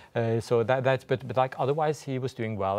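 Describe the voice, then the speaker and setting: A man speaks with ordinary pitch variation. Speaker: interview guest. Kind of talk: interview answer. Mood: calm, thoughtful. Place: studio. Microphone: lapel.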